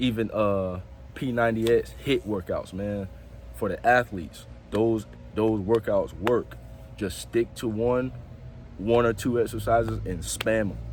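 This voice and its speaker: Music plays in the background as a man speaks. He leaves long, frequent pauses. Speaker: fitness vlogger. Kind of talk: casual vlog talk to camera.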